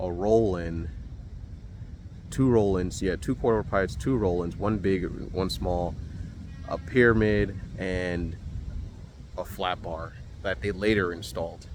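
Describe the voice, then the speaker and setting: With audible room echo, a man with a very deep, low pitch speaks at a fairly slow pace, using ordinary pitch variation and long, frequent pauses. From New Jersey (Maplewood). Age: 30s. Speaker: skateboarder vlogger. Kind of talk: casual vlog narration. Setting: outdoors at skatepark. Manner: casual, hesitant with fillers.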